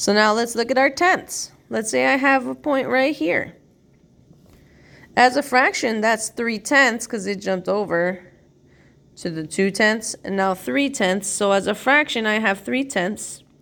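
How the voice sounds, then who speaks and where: In a normal speaking voice, a woman talks fairly slowly at a fairly high pitch with lively intonation. The recording is very clean with a silent background. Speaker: math teacher. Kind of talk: tutorial.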